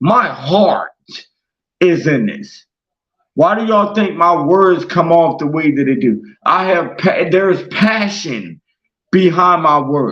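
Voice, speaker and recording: Loud and high-pitched, a man speaks at a very slow pace with long, frequent pauses and ordinary pitch variation. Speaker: internet radio host. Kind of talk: monologue rant. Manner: aggressive.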